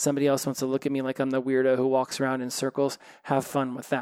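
A man speaks fast in a medium-pitched voice with a clear, smooth, slightly mellow tone. His intonation is monotone and flat.

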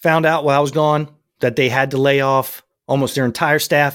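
An animated tone comes through at a moderate pace with an American accent in a very clean recording with a silent background. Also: man. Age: 50s. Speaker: podcast host and firearms trainer. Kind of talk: solo news commentary podcast.

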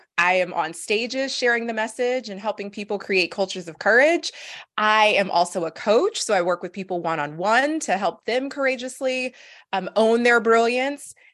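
Against a quiet background, a normal speaking voice goes at a moderate pace. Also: woman. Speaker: speaker and courage coach. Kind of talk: interview conversation.

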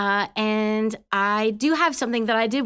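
An unremarkable speaking voice with a Canadian accent, at a fairly slow pace with lively intonation. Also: woman, quiet background. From Canada. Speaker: Salvation Army officer. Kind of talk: faith conversation and testimony. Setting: studio.

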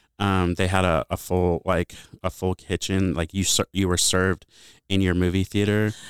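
In a very clean recording with a silent background, a man with a Midwestern American accent speaks at a moderate pace in a very deep, low pitch, with monotone, flat intonation and very even loudness. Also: dry, close sound with no echo. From US Midwest, Bloomington, Illinois. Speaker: college student affairs director. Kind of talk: casual interview. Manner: hesitant, many fillers.

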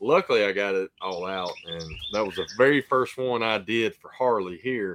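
A man talks at a moderate pace in an unremarkable speaking voice, medium in pitch with ordinary pitch variation. His loudness swings a lot. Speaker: podcast host. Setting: video call.

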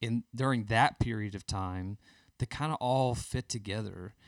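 With a Southern US accent, a man speaks at a medium pitch and moderate pace with ordinary pitch variation, in a dry, close sound with no echo on a very clean recording with a silent background. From Birmingham, Alabama. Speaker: worship musician. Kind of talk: casual interview.

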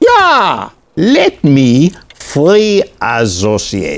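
A man's put-on character voice in a German accent, fairly high in pitch, very slow, with very wide pitch swings.

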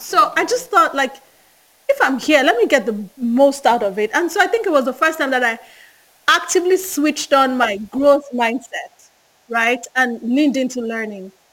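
A woman uses a raised, projected voice, pitched high with lively intonation. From Nigeria. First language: Yoruba. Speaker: management consultant. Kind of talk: casual interview.

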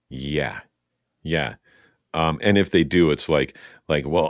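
A man's voice with vocal fry and fairly even intonation at a moderate pace. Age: 50s. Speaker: podcast host and voice actor. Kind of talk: casual chat. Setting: video call.

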